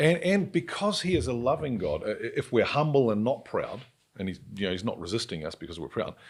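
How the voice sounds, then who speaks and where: A man with a New Zealand accent delivers his words at a fairly quick clip. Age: 60s. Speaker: podcast host. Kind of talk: podcast interview.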